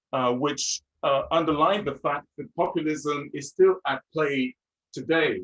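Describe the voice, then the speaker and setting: With a French accent, a man speaks fairly slowly in a fairly high pitch, with ordinary pitch variation and a dry, close sound with no echo. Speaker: seminar leader. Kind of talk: seminar talk. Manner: halting, many fillers.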